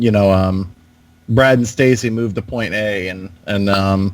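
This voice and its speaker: The speaker uses a Southern US accent with ordinary pitch variation. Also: man. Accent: southern twang. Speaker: video game podcast co-host. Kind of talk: casual chat.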